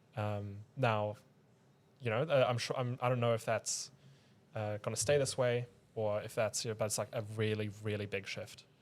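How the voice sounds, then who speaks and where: A man with a non-native accent and a medium-pitched, flat monotone, at a moderate pace with long, frequent pauses, on a very clean recording with a silent background. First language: not English. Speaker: podcast host. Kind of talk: casual podcast conversation. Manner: halting, many false starts and fillers.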